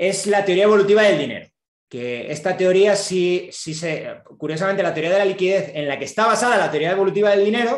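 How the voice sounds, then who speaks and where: With lively intonation and a high pitch, a man speaks at a very fast pace. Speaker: economics professor. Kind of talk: lecture.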